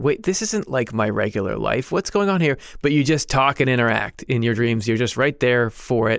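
At a medium pitch, a man speaks with lively intonation and an animated tone at a moderate pace, barely pausing. His loudness stays very even in a very clean recording with a silent background. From United States. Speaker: podcast co-host. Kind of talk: casual chat.

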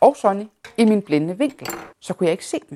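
Here a woman talks at a moderate pace. Her voice is fairly high in pitch. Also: dry, close sound with no echo. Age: 30s. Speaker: person living with multiple sclerosis. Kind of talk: personal testimony.

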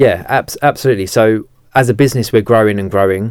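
Fairly even intonation at a fairly quick pace, recorded very cleanly against a silent background. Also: man. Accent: southeast English. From Kent, south-east England. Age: 20s. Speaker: mortgage broker and sales head. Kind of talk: podcast interview. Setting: studio.

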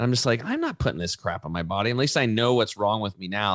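Speaking very fast with an American accent, a man uses a fairly low pitch and an animated tone against a quiet background. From US Northwest, eastern Oregon. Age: 40s. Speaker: natural health entrepreneur. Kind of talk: casual interview.

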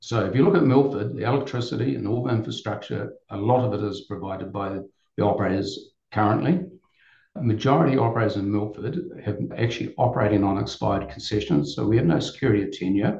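A man talks very fast with a New Zealand accent and some vocal fry. His fairly low voice has a dark, mellow tone. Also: lively intonation. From New Zealand, Auckland. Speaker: tourism business owner. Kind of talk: podcast interview.

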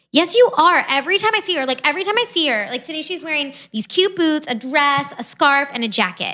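In a raised, projected voice, a woman talks very fast at a high pitch with very wide pitch swings, a bright, sharp tone, and hardly any pauses. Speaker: podcast host.

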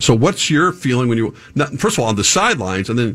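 Recorded very cleanly against a silent background, a man with a plain, everyday voice talks at a fairly quick pace in a medium pitch with lively intonation. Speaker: sports broadcaster host. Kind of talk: sports interview.

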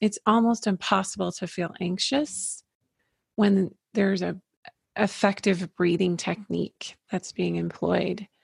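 A woman at a medium pitch speaks fairly slowly, with vocal fry and fairly even intonation. The sound is dry and close with no echo, and the recording is very clean over a silent background. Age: 50s. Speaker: holistic psychologist. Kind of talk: interview conversation.

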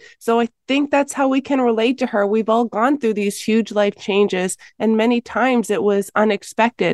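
A woman with a plain, everyday voice speaks at a fairly high pitch and a moderate pace. Her intonation stays fairly even and her loudness very even. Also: dry, close sound with no echo. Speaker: Bible professor and author. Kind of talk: radio interview.

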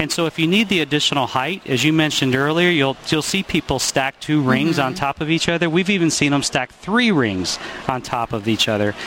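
Speaking at a fairly quick pace, a man with fairly high pitch and lively intonation is heard over noticeable background noise. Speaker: product expert. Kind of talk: product interview. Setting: trade show floor.

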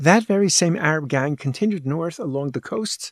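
In a dry, close recording with no echo, a man talks in an animated tone with lively intonation. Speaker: podcast host and rabbi. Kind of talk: lecture-style podcast narration. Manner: formal, animated, didactic.

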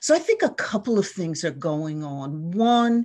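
Against a quiet background, a woman uses a normal speaking voice with a fairly low pitch at a fairly slow pace. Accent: American. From US Northeast, New Jersey shore. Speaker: leadership coach and nonprofit director. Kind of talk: podcast interview.

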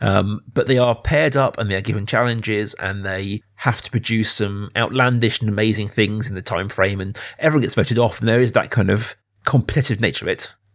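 Recorded very cleanly over a silent background, a man has a normal speaking voice at medium pitch with fairly even intonation. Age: 30s. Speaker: film podcast host. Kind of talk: casual film discussion.

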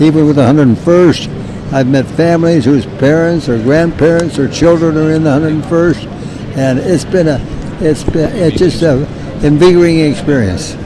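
Over noticeable background noise, a man speaks at a moderate pace. His voice is fairly high, with ordinary pitch variation. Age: 80s+. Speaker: World War II veteran. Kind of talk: interview storytelling. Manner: halting.

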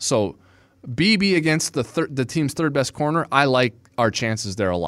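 A man speaks in a fairly high, animated voice at a moderate pace. His pitch swings very widely. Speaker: podcast host. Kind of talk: casual chat. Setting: studio.

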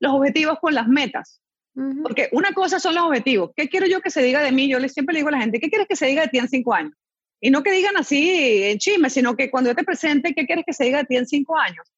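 At a very fast pace, a woman speaks in a high pitch with lively intonation. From Venezuela (born in Chile). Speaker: mindset coach and speaker. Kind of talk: interview. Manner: animated.

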